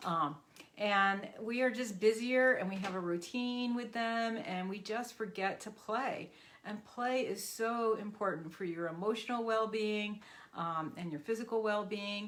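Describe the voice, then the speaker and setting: A woman at medium pitch with ordinary pitch variation, big swings in loudness, and audible room echo. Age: 60s. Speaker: physical therapist and animal practitioner. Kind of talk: casual talk to camera.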